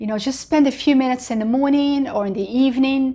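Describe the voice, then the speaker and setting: The speaker is a woman. She talks with an Arabic accent. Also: very clean recording, silent background. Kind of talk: casual testimony-style talk to camera. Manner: conversational, many fillers.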